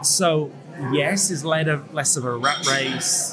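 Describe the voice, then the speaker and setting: Through noticeable background noise and audible room echo, a man speaks at a fairly high pitch. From northern England, Leeds. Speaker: coffee judge and barista trainer. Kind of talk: interview. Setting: noisy coffee shop at a barista competition.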